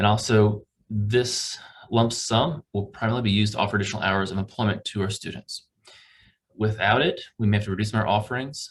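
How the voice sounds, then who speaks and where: Somewhat breathy and fairly low-pitched, a man talks at a very fast pace with ordinary pitch variation. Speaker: campus recreation staff presenting budget. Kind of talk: budget presentation to committee.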